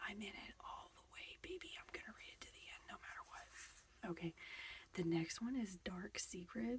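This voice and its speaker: A woman whispering at a moderate pace, relaxed in tone. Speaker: booktuber / ASMR creator. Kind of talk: soft-spoken ASMR book chat to camera. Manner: soft-spoken, relaxed, casual.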